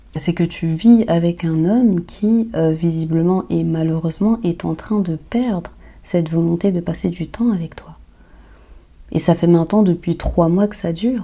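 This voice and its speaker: With ordinary pitch variation, the woman's voice comes across as somewhat breathy. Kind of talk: Q&A advice talk. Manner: hesitant, many fillers.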